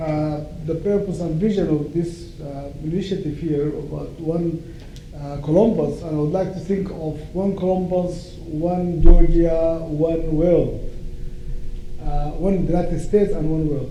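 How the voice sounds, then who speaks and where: Amid noticeable background noise and audible room echo, a high-pitched man talks at a fairly slow pace with fairly even intonation. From Sudan (northern). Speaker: law professor. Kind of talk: lecture. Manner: hesitant with fillers.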